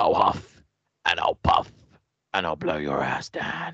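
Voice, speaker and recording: A man uses a put-on character voice. It sounds raspy and moves at a fairly slow pace. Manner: menacing and theatrical.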